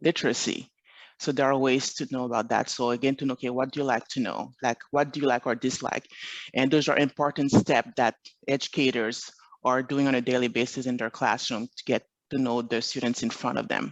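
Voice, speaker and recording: A man with a French accent at medium pitch, a fairly quick pace and fairly even intonation, recorded dry and close with no echo against a quiet background. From Montreal, Quebec. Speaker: education consultant. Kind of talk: presentation.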